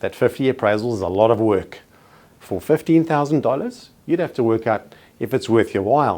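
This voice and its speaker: A man with a South African accent at medium pitch, moderate pace and lively intonation. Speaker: real estate trainer. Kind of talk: training presentation. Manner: formal.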